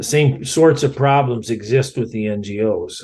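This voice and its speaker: A man with a Midwestern US accent, medium pitch, moderate pace and ordinary pitch variation. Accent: US Midwest. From Iowa, US Midwest. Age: 60s. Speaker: environmental scientist and author. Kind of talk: podcast interview.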